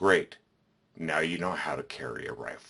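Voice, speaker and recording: Growling in a put-on character voice, a man speaks at a moderate pace. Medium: solo performance. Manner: firm, matter-of-fact.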